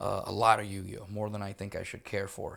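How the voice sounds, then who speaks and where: A man with a Spanish accent speaks at a fairly quick pace in a very clean recording with a silent background. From Puerto Rico. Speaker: military interpreter and educator. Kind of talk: casual podcast interview. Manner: casual, swears, conversational.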